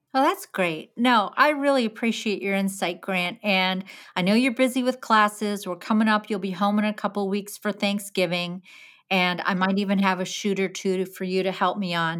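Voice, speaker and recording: A woman with an ordinary speaking voice, medium pitch and ordinary pitch variation, on a very clean recording with a silent background. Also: moderate pace. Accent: American. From New Jersey (Jersey Shore). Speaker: podcast host, photographer. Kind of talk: casual interview; scripted promo.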